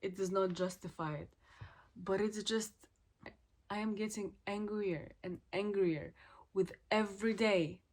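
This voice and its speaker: Speaking at a fairly slow pace with long, frequent pauses, a woman keeps a medium pitch and fairly even intonation. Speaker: student vlogger. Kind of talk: reflective vlog monologue.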